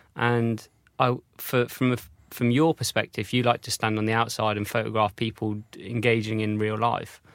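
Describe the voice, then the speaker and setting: On a very clean recording with a silent background, a man with a southern English accent talks in a monotone, flat intonation. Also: medium pitch for a man, moderate pace. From North Devon, England. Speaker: podcast host. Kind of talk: interview. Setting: studio.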